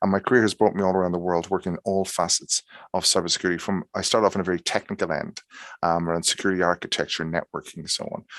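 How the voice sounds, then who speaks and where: A man with an Irish accent speaks at a very fast pace with a very deep, low pitch. His intonation is monotone and flat, and the sound is dry and close with no echo. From Ireland. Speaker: cybersecurity expert and founder. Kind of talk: webinar presentation. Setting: online webinar. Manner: halting, many fillers.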